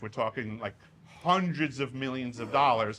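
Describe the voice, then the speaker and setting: A man with a New York accent speaks in a bright, sharp tone. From Long Island, New York, US. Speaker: whistleblower speaker. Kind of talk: Q&A after a talk. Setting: stage with audience.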